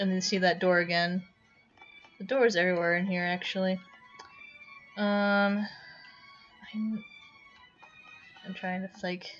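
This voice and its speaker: A woman speaks at a medium pitch with monotone, flat intonation. Long, frequent pauses break her speech while music plays in the background. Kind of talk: unscripted game walkthrough talk. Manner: hesitant, stuttering; flat, bored-sounding.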